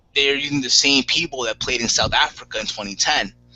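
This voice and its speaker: A man talks at a fairly quick pace with lively intonation over noticeable background noise. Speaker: wrestling podcast host. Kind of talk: casual chat. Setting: live video hangout. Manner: stutters, self-admitted.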